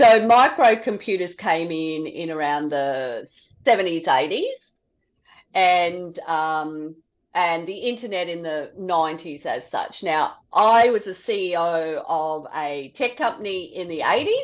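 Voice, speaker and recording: A woman with an Australian accent speaks at a fairly slow pace in a fairly low pitch. Her pitch varies in an ordinary way. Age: 60s. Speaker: podcast host. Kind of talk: casual chat. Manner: conversational, with many fillers.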